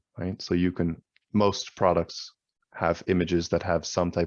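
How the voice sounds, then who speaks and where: Here a man speaks at a fairly quick pace. His pitch is very deep and low. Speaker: online seller trainer. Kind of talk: tutorial. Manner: fast; casual with many fillers.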